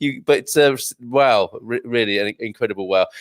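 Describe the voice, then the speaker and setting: A British accent in a dry, close sound with no echo. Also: man. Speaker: radio host. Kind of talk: casual chat. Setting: live online show.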